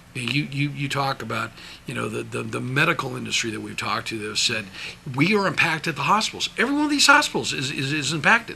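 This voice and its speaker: With an American accent and an animated tone, a man talks at a very fast pace against noticeable background noise. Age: 60s. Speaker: businessman. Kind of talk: interview. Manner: animated, emphatic; many repetitions and restarts.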